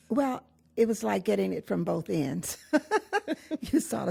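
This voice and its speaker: A woman speaks with an American accent and vocal fry. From Chicago, US Midwest (west side). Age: 70s. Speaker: pastor's daughter, retired teacher. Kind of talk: oral history interview. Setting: church.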